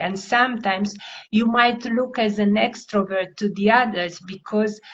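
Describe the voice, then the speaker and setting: A woman with a non-native accent talks at a fairly slow pace, using medium pitch and fairly even intonation. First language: not English. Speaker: language coach. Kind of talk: interview.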